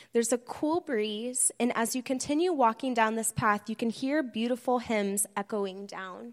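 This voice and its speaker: A woman with a fairly high pitch and a normal speaking voice talks at a moderate pace with ordinary pitch variation and hardly any pauses, on a very clean recording with a silent background. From Bloomington, Indiana.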